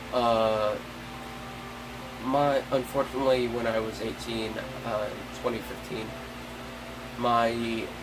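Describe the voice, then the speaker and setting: Music plays behind a man with an American accent speaking at a medium pitch. His delivery is very slow and monotone, with flat intonation. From Central Florida. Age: 20s. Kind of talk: personal appeal to camera.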